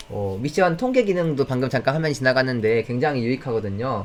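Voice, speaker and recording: Over faint music in the background, a man talks at a fairly quick pace with lively intonation. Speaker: software product presenter; presenter. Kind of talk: online product demo webinar. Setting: live video call. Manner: fast. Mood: friendly, smiling.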